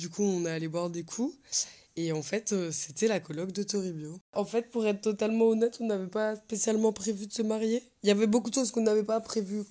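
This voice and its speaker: Her dark, mellow tone sits at a medium pitch for a woman, with ordinary pitch variation and a fairly quick pace. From France. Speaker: interviewee in binational couple. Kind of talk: casual testimony.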